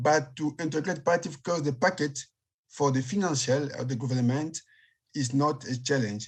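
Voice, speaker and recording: In a very clean recording with a silent background, a man with a Congolese accent speaks somewhat breathily at a fairly high pitch with ordinary pitch variation. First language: French. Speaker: palliative care physician. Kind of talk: panel discussion. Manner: slow; halting.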